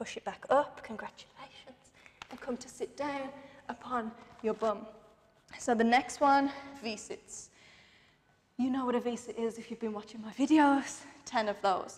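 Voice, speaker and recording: A woman with a high pitch and ordinary pitch variation speaks with long, frequent pauses. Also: moderate pace. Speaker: fitness instructor. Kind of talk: guided workout class. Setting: home workout video. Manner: animated, rhythmic counting; encouraging, breathless. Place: empty room.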